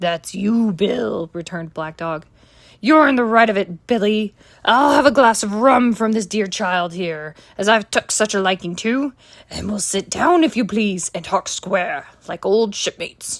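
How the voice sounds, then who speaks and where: The voice is raspy. It is a put-on character voice. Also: woman, medium pitch for a woman, moderate pace. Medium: read story. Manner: fawning, sneering.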